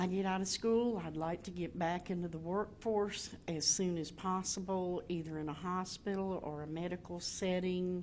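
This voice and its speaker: The speaker has a North Carolina accent and a moderate pace. Intonation stays fairly even, with hardly any pauses. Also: woman, medium pitch for a woman. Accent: Southern US (North Carolina). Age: 60s. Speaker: graduating student. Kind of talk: testimony.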